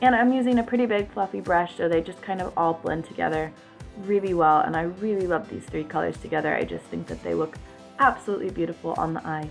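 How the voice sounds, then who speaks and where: Music plays in the background as a woman talks at a very fast pace. Her pitch is fairly low, with ordinary variation. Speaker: beauty vlogger. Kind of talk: makeup tutorial voice-over. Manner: casual, chatty.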